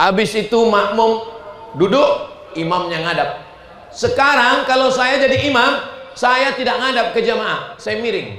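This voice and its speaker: A man with an extremely high pitch uses a raised, projected voice and an animated tone, with ordinary pitch variation at a fairly slow pace. Noticeable background noise and audible room echo are present. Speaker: Islamic preacher. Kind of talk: sermon. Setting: mosque gathering with audience.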